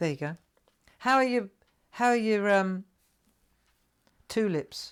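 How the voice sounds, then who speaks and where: Her intonation is lively, her pitch medium. This woman speaks with a South London accent. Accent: southern London. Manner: chatty, animated.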